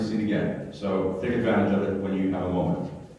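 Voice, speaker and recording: A man talks at a fairly quick pace. There is strong room echo. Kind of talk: announcements to congregation. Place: church. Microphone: camera far.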